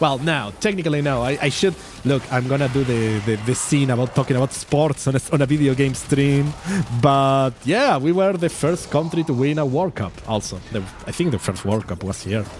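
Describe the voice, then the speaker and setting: A man with a Spanish accent and lively intonation amid noticeable background noise. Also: fairly high pitch for a man, moderate pace. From Uruguay. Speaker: vtuber streamer. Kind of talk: casual game stream chat. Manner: halting, repeats words.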